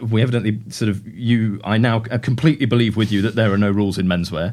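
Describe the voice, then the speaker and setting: A man with a British accent and a fairly low voice, on a very clean recording with a silent background. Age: young. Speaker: podcast host, fashion journalist. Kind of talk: interview. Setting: showroom.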